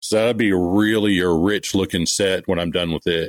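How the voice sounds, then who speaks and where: A man with a Texan accent and a very deep, low pitch speaks at a moderate pace with fairly even intonation, the sound dry and close with no echo. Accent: Texan Southern US. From East Texas. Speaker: part-time knifemaker. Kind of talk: interview. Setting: remote call.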